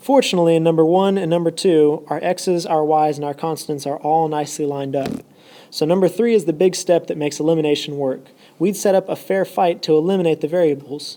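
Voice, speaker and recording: A woman's fairly low-pitched voice at a very fast pace, with ordinary pitch variation. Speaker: math teacher. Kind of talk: tutorial.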